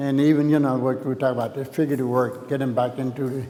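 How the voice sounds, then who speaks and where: A man with an Alabama accent talks very fast at a medium pitch in a flat monotone. Noticeable background noise and audible room echo fill the recording. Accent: Southern US (Alabama). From US South, Alabama (Tuscaloosa). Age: 70s. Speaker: painter. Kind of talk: artist talk, open dialogue. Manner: halting, many fillers.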